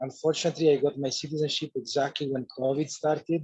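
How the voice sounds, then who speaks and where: Fairly quick and somewhat breathy, a man speaks with a dark, mellow tone. His intonation stays fairly even. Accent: Italian. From Italy. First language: Italian. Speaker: course participant. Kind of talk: group video call discussion.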